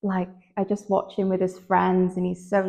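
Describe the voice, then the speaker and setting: A woman in a Manchester accent, moderate pace, monotone and flat. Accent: Manchester-area northern English. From near Manchester, northern England. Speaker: fashion model. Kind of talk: interview. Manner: loud; hesitant, many fillers.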